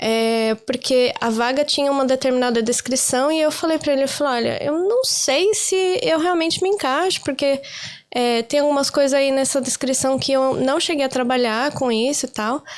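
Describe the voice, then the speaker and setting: A Brazilian accent with very even loudness. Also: woman, high pitch for a woman, ordinary pitch variation, moderate pace. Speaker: career-change interviewee, office worker in Ireland. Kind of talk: casual interview chat.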